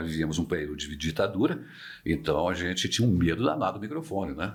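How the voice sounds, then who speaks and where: A man's very deep, low voice with vocal fry, at a very fast pace, with ordinary pitch variation. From Minas Gerais, Brazil (Barbacena). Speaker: veteran radio broadcaster. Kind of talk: interview conversation.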